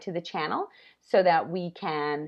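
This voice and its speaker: A woman's fairly low-pitched voice. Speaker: wellness coach and live show host. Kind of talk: live video monologue. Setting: live stream. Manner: fast; animated.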